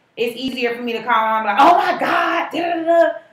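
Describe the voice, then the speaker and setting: There is audible room echo as a woman speaks at a moderate pace with lively intonation. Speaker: podcast co-host. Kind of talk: casual chat. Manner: loud.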